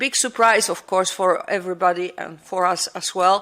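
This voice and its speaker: In a Polish accent, a woman speaks with a bright, sharp tone and ordinary pitch variation. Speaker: air traffic controllers' union representative. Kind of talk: conference talk. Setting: conference with audience. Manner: halting.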